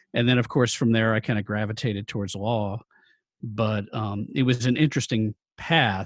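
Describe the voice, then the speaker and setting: An unremarkable speaking voice from a man with an American accent, medium pitch, fairly even intonation and moderate pace. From New York City (Brooklyn and Queens), later Indianapolis. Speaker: sports sponsorship agency founder. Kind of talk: interview.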